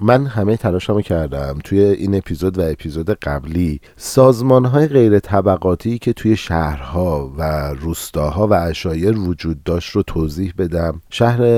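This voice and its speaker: A man's very deep, low voice with lively intonation, a fairly slow pace and hardly any pauses. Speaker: podcast host. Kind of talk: solo history podcast narration.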